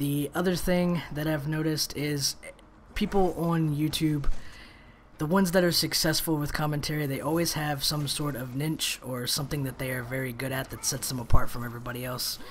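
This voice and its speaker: Speaking at a fairly quick pace, the man has a fairly high voice. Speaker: gaming commentator. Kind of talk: gameplay commentary monologue. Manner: monotone when in pain; trying to be animated.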